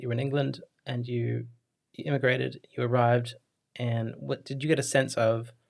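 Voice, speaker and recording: Speaking at a moderate pace, a man with a medium-pitched, somewhat breathy voice keeps a monotone, flat intonation. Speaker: podcast host. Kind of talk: podcast interview.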